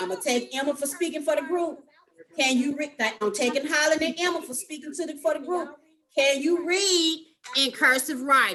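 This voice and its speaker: This woman's pitch is high. Her pitch varies an ordinary amount. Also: moderate pace. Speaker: teacher. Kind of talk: online class lesson. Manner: firm, not soft-spoken.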